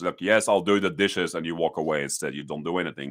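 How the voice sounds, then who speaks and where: On a very clean recording with a silent background, a man speaks with lively intonation and a Dutch accent. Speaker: YouTuber. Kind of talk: live stream talk. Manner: halting; loud.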